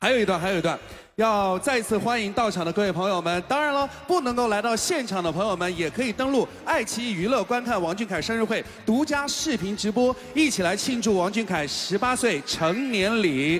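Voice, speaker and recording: Fairly quick speech from a man, light background noise behind him. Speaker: event host. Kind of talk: stage hosting. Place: hall. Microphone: handheld.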